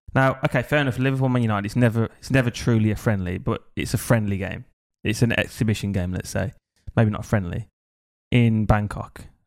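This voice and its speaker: On a very clean recording with a silent background, a man talks at a fairly quick pace with fairly even intonation. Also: medium pitch for a man. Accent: English. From England. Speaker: podcast co-host. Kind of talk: casual chat. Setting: studio.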